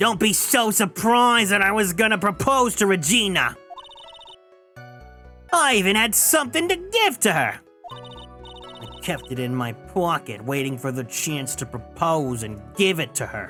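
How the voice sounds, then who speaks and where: Over faint background music, a woman does a put-on character voice with fairly low pitch at a moderate pace. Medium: virtual streamer. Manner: brash, pushy.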